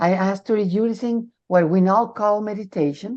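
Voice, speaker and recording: A woman's medium-pitched voice with a dark, mellow tone against a quiet background. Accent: Spanish. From Mexico. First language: Spanish. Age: 60s. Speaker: near-death experiencer sharing her story. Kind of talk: interview testimony.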